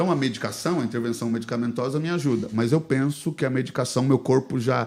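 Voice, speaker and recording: With medium pitch and ordinary pitch variation, a man rattles along at a very fast pace. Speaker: pastor, podcast guest. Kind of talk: casual interview, personal testimony.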